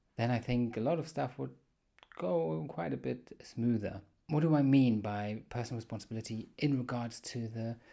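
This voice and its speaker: A man's dark, mellow tone with lively intonation at a moderate pace. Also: medium pitch for a man. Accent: German. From Germany. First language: German. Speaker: podcast host. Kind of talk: solo podcast monologue. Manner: casual, with hesitations.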